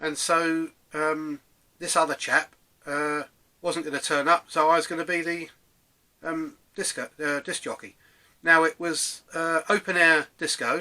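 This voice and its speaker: A bright, sharp tone with an English accent comes through on a very clean recording with a silent background. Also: man. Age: 60s. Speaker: DJ reminiscing, vlogger. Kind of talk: casual monologue, personal reminiscence. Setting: home room, self-recorded. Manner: hesitant, many fillers.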